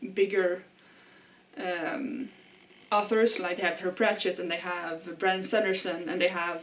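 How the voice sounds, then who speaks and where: With a Swedish accent, the speaker goes at a moderate pace with ordinary pitch variation over noticeable background noise. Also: woman. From Sweden. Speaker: book vlogger. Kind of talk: casual vlog monologue. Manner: casual with fillers.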